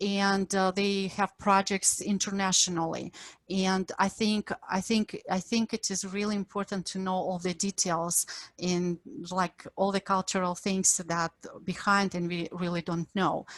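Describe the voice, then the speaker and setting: In a Ukrainian accent, a woman with a medium pitch talks at a fairly slow pace in a monotone, flat intonation, on a very clean recording with a silent background and a dry, close sound with no echo. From Ukraine. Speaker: professor. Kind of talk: lecture.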